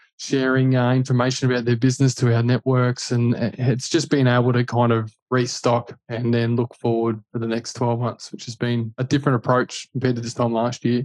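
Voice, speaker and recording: Dry and close with no echo, a man's medium-pitched voice moves at a fairly quick pace in a flat monotone with hardly any pauses. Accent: Australian. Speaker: buyer's agent, former footballer. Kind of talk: casual interview.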